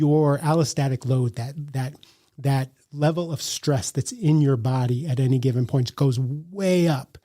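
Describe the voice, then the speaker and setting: A man's fairly high, somewhat breathy voice, dark and mellow in tone, at a fairly slow pace in a dry, close sound with no echo. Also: ordinary pitch variation. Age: 60s. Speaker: leadership coach and author. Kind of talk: podcast interview.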